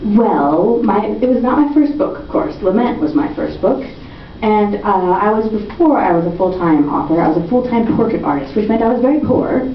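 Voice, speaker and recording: Someone with an American accent talks at a moderate pace with very wide pitch swings, audible room echo and noticeable background noise. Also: woman. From US, Virginia. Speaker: young adult novelist. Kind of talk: author talk with audience Q&A. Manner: animated.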